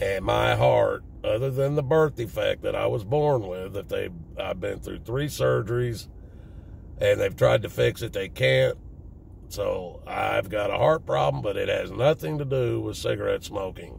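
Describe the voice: This man has a fairly low, raspy voice with vocal fry and a slightly mellow tone, speaking with a Southern US accent. He talks at a fairly slow pace, with ordinary pitch variation.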